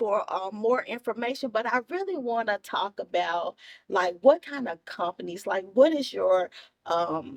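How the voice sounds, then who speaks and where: A woman with a high pitch speaks with very wide pitch swings in a dry, close sound with no echo. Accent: Memphis. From Memphis, Tennessee. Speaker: TV and radio show host. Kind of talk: casual interview. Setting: studio set. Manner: animated.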